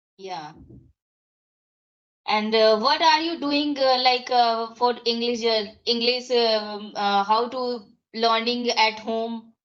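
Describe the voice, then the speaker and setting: A woman with an Indian accent, fairly high in pitch, with ordinary pitch variation, a very slow pace, and long, frequent pauses. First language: Hindi. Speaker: English learner. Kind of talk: casual chat. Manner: halting.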